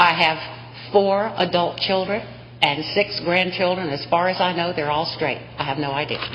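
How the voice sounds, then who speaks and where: With an American accent, a woman speaks at a moderate pace, her fairly low pitch showing ordinary variation. Audible room echo and noticeable background noise surround her. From US South. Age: 60s. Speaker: state senate president. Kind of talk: legislative floor speech. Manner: formal.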